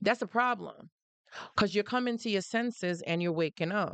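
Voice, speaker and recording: With a Jamaican accent, a woman speaks at medium pitch with ordinary pitch variation and an animated tone. The sound is dry and close with no echo, over a quiet background. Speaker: live-stream host on narcissistic abuse. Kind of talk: live stream talk.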